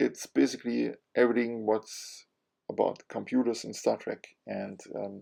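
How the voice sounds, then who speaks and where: A man talks at a moderate pace in a German accent. His loudness swings a lot. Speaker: comic book YouTuber. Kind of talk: casual monologue. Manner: halting, many fillers.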